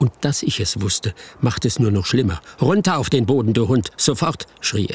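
The intonation is lively. The reading voice sounds unforced.

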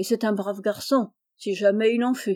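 Against a quiet background, the reading aloud is in a natural voice with fairly level intonation.

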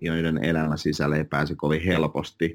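Very clean recording, silent background, and a man speaking at a fairly slow pace. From Finland, moved from Russia at age five. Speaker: real estate agent. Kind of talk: interview. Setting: office.

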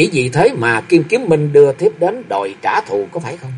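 Doing a put-on character voice, a man speaks at a moderate pace with a fairly high pitch, big pitch swings and a slightly husky edge.

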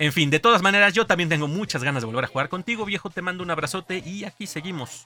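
Speaking very fast with hardly any pauses, a man with a Mexican accent uses a high pitch and ordinary pitch variation. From Mexico. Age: 30s. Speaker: podcast host. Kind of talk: casual chat.

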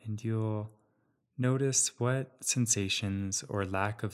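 A man uses a normal speaking voice with ordinary pitch variation at a fairly slow pace. The recording is very clean, with a silent background. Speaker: meditation guide. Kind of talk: guided meditation. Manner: slow, calm, soothing, with long pauses; gentle, soft-spoken.

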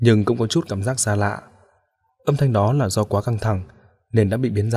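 The background stays quiet as a natural reading voice is heard.

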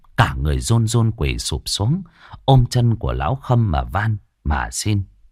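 The clip is plain reading aloud. Words are read off without embellishment.

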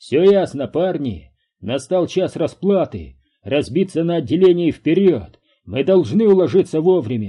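Putting on a character voice, a man talks at a moderate pace with a fairly high pitch and lively intonation. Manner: rallying, commanding shout.

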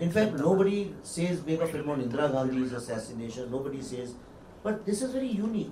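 Delivered at a very fast pace, the speech has very wide pitch swings and audible room echo. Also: man, fairly high pitch for a man. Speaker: film director. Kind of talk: panel discussion.

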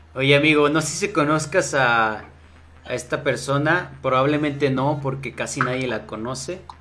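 There's audible room echo as a man talks at a fairly slow pace. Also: fairly high pitch for a man, ordinary pitch variation. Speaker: podcast host. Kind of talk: casual chat. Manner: animated. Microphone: mic problem.

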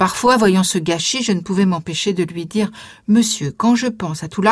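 Aloud reading, plain, its pitch varying in an ordinary way

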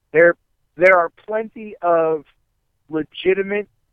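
At a very slow pace, a man with a Midwestern American accent speaks with ordinary pitch variation. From Ohio, Akron area. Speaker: professional wrestler. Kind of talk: casual interview chat. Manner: repeats words, stammering restarts.

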